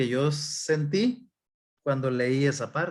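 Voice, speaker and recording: A man's fairly high voice with lively intonation, at a very slow pace. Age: 60s. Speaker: pastor. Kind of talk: sermon.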